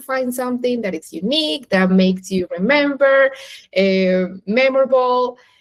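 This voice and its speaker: The woman speaks with a non-native accent at a high pitch. Her pace is moderate and her pitch varies in an ordinary way. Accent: foreign. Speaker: interviewer. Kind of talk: interview.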